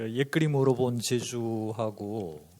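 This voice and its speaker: His tone is dark and mellow. The man speaks at a very slow pace. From rural Korea. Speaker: art historian and author. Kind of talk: panel discussion remarks. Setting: conference with audience.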